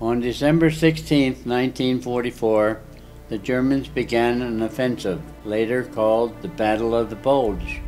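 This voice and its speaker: Music plays in the background as a man talks at a moderate pace. His pitch is medium and his intonation fairly even. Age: 80s+. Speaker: war veteran. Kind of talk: personal memoir narration.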